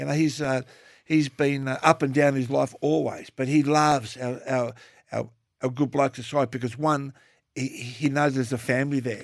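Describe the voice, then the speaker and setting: A very clean, silent-background recording of speech at a moderate speed, with fairly even intonation. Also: man, medium pitch for a man. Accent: Australian. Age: 60s. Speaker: podcast co-host, TV personality. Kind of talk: casual chat.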